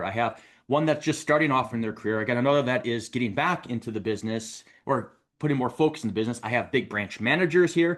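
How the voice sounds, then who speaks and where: The background is quiet. The speech moves at a very fast pace. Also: man. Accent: Wisconsin. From Wisconsin, US Upper Midwest. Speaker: mortgage coach and show host. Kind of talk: recorded show intro monologue. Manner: casual, conversational.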